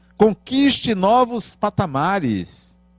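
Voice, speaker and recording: Music plays in the background as the speaker talks at a very slow pace with very wide pitch swings, the sound dry and close with no echo. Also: man. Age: 50s. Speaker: spiritist lecturer. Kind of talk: spiritual lecture.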